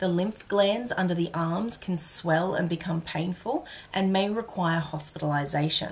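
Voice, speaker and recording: Somewhat breathy, a woman speaks at a fairly slow pace in a fairly low pitch. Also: ordinary pitch variation. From Australia. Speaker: educational YouTuber. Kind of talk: scripted narration. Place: home room.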